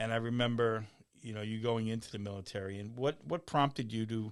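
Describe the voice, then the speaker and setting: A man uses a normal speaking voice at a fairly quick pace and a medium pitch. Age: 60s. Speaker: podcast host and martial arts coach. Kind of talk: podcast interview.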